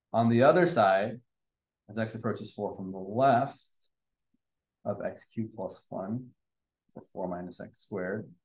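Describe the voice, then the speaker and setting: Delivered at a moderate pace with ordinary pitch variation, the speech has long, frequent pauses, big swings in loudness and audible room echo. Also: man, fairly low pitch for a man. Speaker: math teacher. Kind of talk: lecture.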